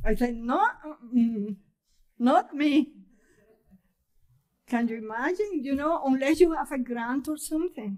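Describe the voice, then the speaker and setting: A woman talks at a high pitch with lively intonation. She goes at a fairly slow pace with long, frequent pauses against a quiet background. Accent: strong Spanish. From Cuba. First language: Spanish. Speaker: poet. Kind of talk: casual chat. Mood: warm, amused. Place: hall. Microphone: podium.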